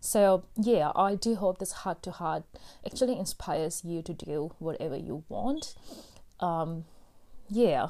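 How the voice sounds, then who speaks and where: A woman's dark, mellow voice at a fairly slow pace with ordinary pitch variation, on a very clean recording with a silent background. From India. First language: Hindi. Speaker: podcast host. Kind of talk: solo personal monologue. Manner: casual with many fillers.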